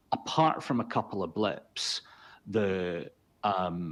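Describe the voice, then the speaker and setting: Against a quiet background, a man with a Scottish accent speaks at a very deep, low pitch with ordinary pitch variation. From Scotland. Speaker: consultancy founder and chief executive. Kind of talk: webinar discussion.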